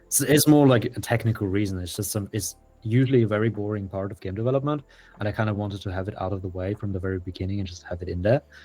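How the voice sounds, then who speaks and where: Over music in the background, the speech runs at a very fast pace. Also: man, fairly low pitch for a man, ordinary pitch variation. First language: German. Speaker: indie game developer. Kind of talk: interview.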